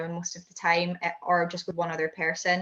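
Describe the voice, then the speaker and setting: Fairly quick and bright, a woman's sharp voice of medium pitch carries a Scottish accent. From Scotland. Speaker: high jumper and heptathlete. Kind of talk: interview answer.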